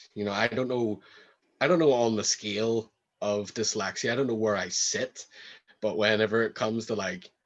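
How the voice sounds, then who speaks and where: Over a quiet background, a man in a Northern Irish accent speaks at a fairly low pitch with fairly even intonation. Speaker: rapper. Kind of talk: interview. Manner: halting, repeats words.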